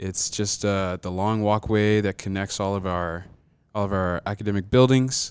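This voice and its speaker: A man with an American accent speaks at a moderate pace in a normal speaking voice, fairly low in pitch with fairly even intonation. The recording is very clean, with a silent background. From US South, South Georgia. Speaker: college student. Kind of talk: casual chat.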